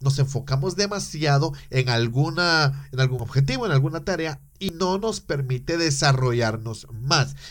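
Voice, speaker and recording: A man talks at a fairly slow pace with hardly any pauses, his voice somewhat breathy and fairly high in pitch with ordinary variation. The recording is very clean, with a silent background. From Guatemala. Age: 30s. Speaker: podcast host. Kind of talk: solo podcast monologue.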